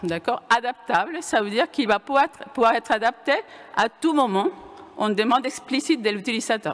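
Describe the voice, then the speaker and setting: With a Venezuelan accent, a woman talks at a fairly quick pace and high pitch with lively intonation, over noticeable background noise. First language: Spanish (speaking French). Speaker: computer science professor. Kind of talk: conference talk. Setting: lecture hall with audience. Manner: hesitant, many fillers and restarts.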